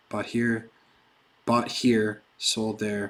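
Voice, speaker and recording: A man speaks with an American accent. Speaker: crypto trading streamer. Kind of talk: live stream tutorial and Q&A. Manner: casual.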